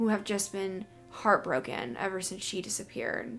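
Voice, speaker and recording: A woman speaks with an American accent. Her pitch is medium and her pace moderate. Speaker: true crime youtuber. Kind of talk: casual true crime narration to camera. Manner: trying to improve diction, may stumble over words.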